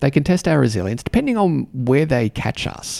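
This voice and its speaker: A man speaks with an Australian accent. The sound is dry and close, with no echo. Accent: Australian, fairly mild. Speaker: podcast host and mentor for diplomats. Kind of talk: solo podcast monologue. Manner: filler-heavy, warm, conversational.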